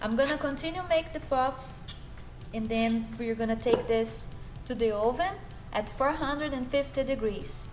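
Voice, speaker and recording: Over noticeable background noise, a woman with a Brazilian accent speaks at a fairly slow pace in a high pitch with ordinary pitch variation. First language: Portuguese. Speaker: chef. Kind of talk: cooking tutorial to camera. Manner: upbeat, friendly.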